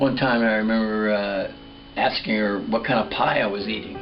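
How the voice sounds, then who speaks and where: Background music behind a man speaking at a moderate pace. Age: old. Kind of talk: comedic storytelling monologue. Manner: casual, reminiscing.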